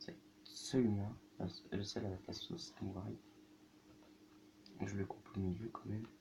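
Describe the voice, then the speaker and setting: Soft-spoken and somewhat breathy, the speaker keeps a moderate pace with ordinary pitch variation and long, frequent pauses. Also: man, fairly low pitch for a man. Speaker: youtuber. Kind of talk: food tasting vlog.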